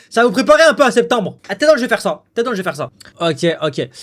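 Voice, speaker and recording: A man rattles along at a very fast pace. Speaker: streamer. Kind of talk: casual live stream chat.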